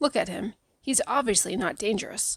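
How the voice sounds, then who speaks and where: Raspy and fairly high-pitched, a woman puts on a character voice at a moderate pace. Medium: read story. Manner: warm, chatty.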